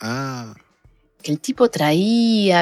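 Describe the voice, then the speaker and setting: A woman speaks with music in the background. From Buenos Aires suburbs, Argentina (La Matanza). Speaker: guitarist and songwriter. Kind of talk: casual interview.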